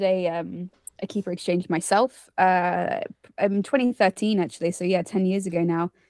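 A woman with a British accent talks at a moderate pace in a dry, close recording with no echo, very clean against a silent background. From United Kingdom. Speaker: zookeeper and podcast host. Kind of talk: casual interview chat. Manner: warm, enthusiastic.

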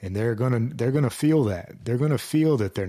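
A man's voice has a dark, mellow tone. The recording is very clean, with a silent background. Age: 40s. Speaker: podcast host, former firefighter. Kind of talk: solo podcast monologue. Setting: home office studio. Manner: casual, halting with fillers.

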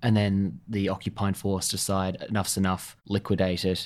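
A man's fairly low voice with an Australian accent at a moderate pace, on a very clean recording with a silent background. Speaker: podcast host. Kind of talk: interview. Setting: in-person interview at a museum.

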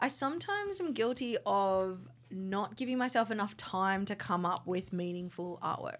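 A woman speaks with an Australian accent. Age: 30s. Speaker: podcast co-host, artist. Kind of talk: casual chat.

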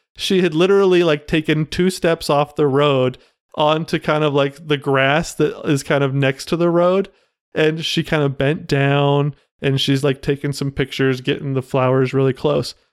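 On a very clean recording with a silent background, a man with a fairly high pitch speaks at a moderate pace and very even loudness, the sound dry and close with no echo. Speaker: podcast co-host. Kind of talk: casual chat. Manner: animated.

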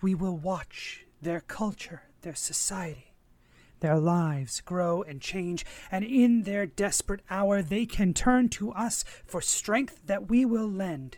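A put-on character voice at a middle pitch delivers its lines in a solemn tone at a fairly slow pace. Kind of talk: ritual incantation. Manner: solemn, ceremonial.

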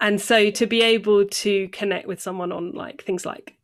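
A woman's medium-pitched voice with vocal fry. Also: very clean recording, silent background. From southwest England, North Devon. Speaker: trainee for ordination, former church debt-help worker. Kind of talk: casual interview.

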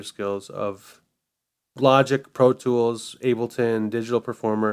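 A man talks in an unremarkable speaking voice at a medium pitch. His intonation is fairly even and his pace fairly slow. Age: 30s. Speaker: podcast host and music arranger. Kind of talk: casual chat.

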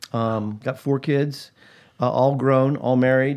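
Speaking very slowly in a monotone, flat delivery, a man talks with an American accent. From US South, Atlanta, Georgia. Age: 60s. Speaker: pastor and podcast co-host. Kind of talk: casual chat.

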